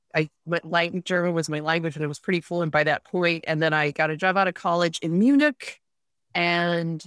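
A woman with an American accent speaks at a moderate pace in a plain, everyday voice, fairly low in pitch with fairly even intonation. The recording is very clean, with a silent background and a dry, close sound with no echo. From upstate New York, Rochester area. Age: 50s. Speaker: author and podcaster. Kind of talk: casual interview.

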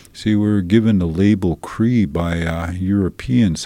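A man with a very deep, low voice speaks at a fairly slow pace, his pitch varying in an ordinary way. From Alberta, Canada (Saddle Lake, Treaty 6). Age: 50s. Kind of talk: interview and language lesson. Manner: hesitant, many fillers.

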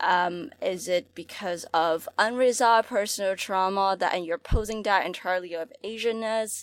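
In an American accent, a woman with a normal speaking voice talks at a moderate pace and medium pitch, with ordinary pitch variation and hardly any pauses. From Hong Kong, then New York City from age eleven. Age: 20s. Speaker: student activist. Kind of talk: casual podcast discussion.

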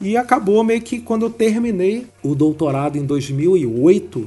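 Dark and mellow, this is a man's voice. His intonation is lively. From Rio de Janeiro. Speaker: biomedical scientist and exam-prep teacher. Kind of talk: interview.

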